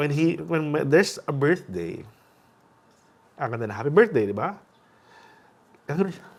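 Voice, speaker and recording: A man speaks with vocal fry, his pitch swinging very widely. His loudness rises and falls sharply, broken by long, frequent pauses. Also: fairly high pitch for a man. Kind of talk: podcast interview. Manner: fast; code-switching Tagalog and English.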